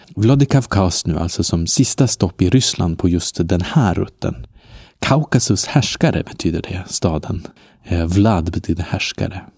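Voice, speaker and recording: The voice is somewhat breathy, with lively intonation at a fairly slow pace. It comes on a very clean recording with a silent background. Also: man, very deep, low pitch for a man. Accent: slight Norrland. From northern Sweden (Norrland). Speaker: travel podcast host. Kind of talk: travel narration. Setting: outdoors on hostel balcony.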